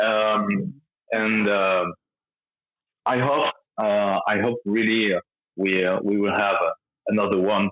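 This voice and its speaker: Speaking in a French accent, a man with a fairly low pitch keeps fairly even intonation and very even loudness at a fairly slow pace, leaving long, frequent pauses. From France. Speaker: rock band lead singer. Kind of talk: interview. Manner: halting, many fillers.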